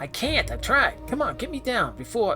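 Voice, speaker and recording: Someone speaks in a put-on character voice at a moderate pace. Music plays clearly in the background. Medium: actual play. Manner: fast, slangy.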